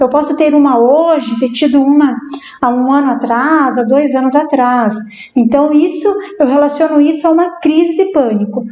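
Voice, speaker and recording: A woman with a high pitch talks at a moderate pace, with ordinary pitch variation and very even loudness. There is noticeable background noise and audible room echo. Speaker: psychologist. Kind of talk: interview on live stream. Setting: live stream. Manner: halting.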